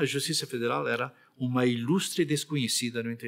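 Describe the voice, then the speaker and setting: At a moderate pace, a man talks in a normal speaking voice, medium in pitch with ordinary variation. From Rio Grande do Sul, Brazil. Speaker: retired federal appellate judge. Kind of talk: oral history interview answer.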